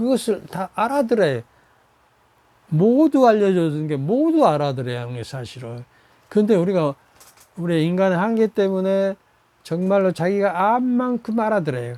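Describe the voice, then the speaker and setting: This man talks at a moderate pace in a high pitch, his voice swinging very widely in pitch and broken by long, frequent pauses. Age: 80s+. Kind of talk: sermon. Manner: halting; animated.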